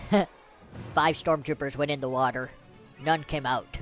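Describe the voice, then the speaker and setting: With clear music in the background, a man puts on a character voice in a fairly high pitch. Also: moderate pace. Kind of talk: playful film impression. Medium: game stream. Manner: slow, ominous storytelling.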